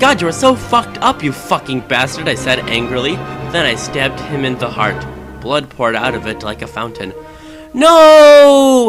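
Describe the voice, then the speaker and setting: Music runs underneath. A man speaks at a moderate pace. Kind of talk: comedic dramatic reading of fan fiction. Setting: cheap game microphone.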